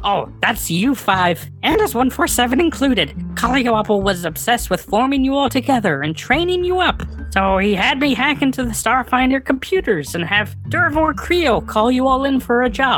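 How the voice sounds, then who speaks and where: Someone in a put-on character voice talks at a moderate pace and fairly high pitch, hardly pausing, with clear music in the background. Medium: actual play. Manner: flippant, rambling.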